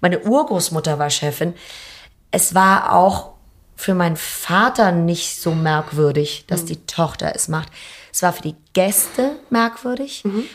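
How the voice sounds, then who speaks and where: A woman in a normal speaking voice, fairly low in pitch, with lively intonation, a fairly slow pace and big swings in loudness, on a very clean recording with a silent background. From Hamburg, Germany. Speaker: restaurant owner. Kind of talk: interview. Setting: empty restaurant.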